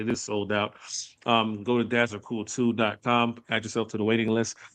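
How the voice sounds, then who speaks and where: Loud and at a fairly quick pace, a man speaks at a medium pitch with a bright, sharp tone. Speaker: podcast host. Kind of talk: casual chat. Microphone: sound cutting in and out, internet connection.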